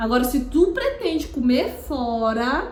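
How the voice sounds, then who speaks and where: Through audible room echo and noticeable background noise, a woman speaks at a high pitch. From Piauí, Northeast Brazil. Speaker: makeup artist and YouTuber. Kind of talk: casual vlog talk to camera. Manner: halting, many restarts and fillers.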